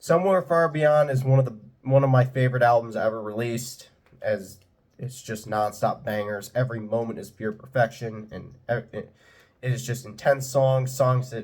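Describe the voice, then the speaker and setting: A somewhat breathy man at a medium pitch, with big swings in loudness. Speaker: music reviewer / YouTuber. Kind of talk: album ranking monologue. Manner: stuttering, halting; enthusiastic.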